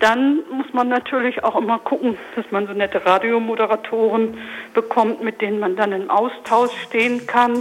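Over noticeable background noise, a woman speaks at a moderate pace in a fairly high pitch with ordinary pitch variation. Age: 40s. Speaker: radio promoter. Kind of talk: radio interview.

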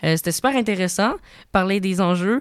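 A woman with a plain, everyday voice speaks at medium pitch and a moderate pace, using ordinary pitch variation on a very clean recording with a silent background. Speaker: podcast host. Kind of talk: podcast outro; casual interview. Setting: studio.

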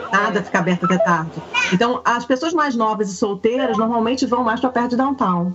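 Against noticeable background noise, a woman with a fairly high pitch talks at a fairly quick pace, with ordinary pitch variation and very even loudness. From Rio de Janeiro, Brazil. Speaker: Brazilian content creator living in Canada. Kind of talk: casual chat.

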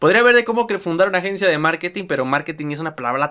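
A bright, sharp tone with ordinary pitch variation comes through in a Mexican accent on a very clean recording with a silent background. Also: man. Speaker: podcast host, young entrepreneur. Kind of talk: casual monologue.

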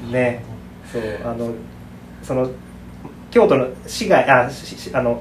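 A man at medium pitch with ordinary pitch variation, a very slow pace and long, frequent pauses, amid audible room echo. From Saitama, Japan. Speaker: potter. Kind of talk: casual interview chat.

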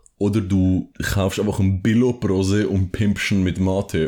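This man's voice has a dark, mellow tone, captured on a very clean recording with a silent background. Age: 20s. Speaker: podcast co-host. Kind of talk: casual chat. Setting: at co-host's home.

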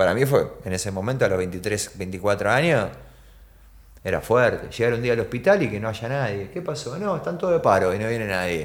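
In a Rioplatense accent, a man speaks at a moderate pace and medium pitch with lively intonation. Audible room echo is present. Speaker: skateboarder and photographer. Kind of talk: casual chat. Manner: halting.

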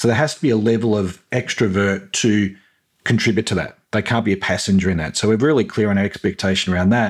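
A man with an Australian accent at a very fast pace, his pitch fairly low and loudness very even, on a very clean recording with a silent background. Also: ordinary pitch variation. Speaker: swim school business owner. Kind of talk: casual chat.

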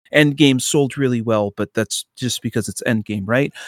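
A plain, everyday voice: a man at medium pitch, ordinary pitch variation, moderate pace, dry, close sound with no echo, and a very clean recording with a silent background. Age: 20s. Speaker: podcast co-host. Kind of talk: casual chat. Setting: home room.

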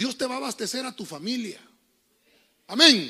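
On a very clean recording with a silent background, a man speaks in a raised, projected voice at an extremely high pitch, his tone animated. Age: 40s. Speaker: pastor. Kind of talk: sermon. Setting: church.

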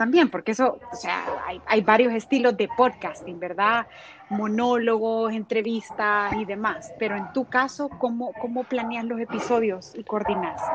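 In a plain, everyday voice, a woman speaks at a fairly slow pace with a fairly high pitch and ordinary pitch variation. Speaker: podcast host. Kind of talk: interview.

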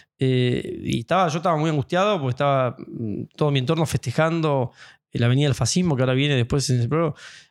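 At a very fast pace, a man talks with a fairly high pitch, ordinary pitch variation, and very even loudness. The recording is very clean, with a silent background. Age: 40s. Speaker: pianist and piano teacher. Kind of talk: casual interview conversation. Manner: animated.

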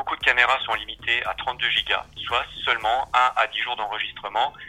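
A man at a fairly quick pace with music in the background. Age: 40s. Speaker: home automation retailer. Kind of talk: interview. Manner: hesitant, many fillers.

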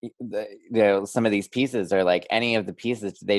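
With a plain, everyday voice, a man speaks fairly low and fairly quickly, his intonation fairly even and the sound dry and close with no echo. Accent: American. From Pennsylvania. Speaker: podcast co-host. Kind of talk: casual chat.

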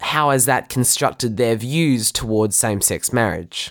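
Lively intonation marks this man's medium-pitched voice, spoken with an Australian accent. The recording is very clean and dry, close with no echo and a silent background. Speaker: podcast host. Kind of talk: scripted narration.

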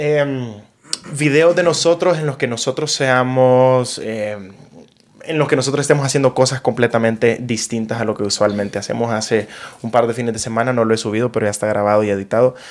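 This is an ordinary speaking voice moving at a fairly quick pace with ordinary pitch variation. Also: man, medium pitch for a man. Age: 20s. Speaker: podcast host and content creator. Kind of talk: casual chat. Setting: home studio.

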